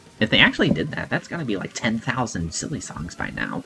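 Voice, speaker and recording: A man talks at a fairly quick pace with very wide swings in pitch, music playing in the background. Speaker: YouTuber reacting to his old video. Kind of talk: casual commentary. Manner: some stumbling, filler words.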